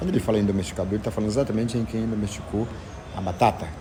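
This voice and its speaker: There is audible room echo and noticeable background noise. A man talks at a fairly low pitch. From Brazil, Maranhão (Barra do Corda). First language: Zenete'hár (Tupi-Guarani language) (speaking Portuguese). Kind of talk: interview, explaining history. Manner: halting, with fillers.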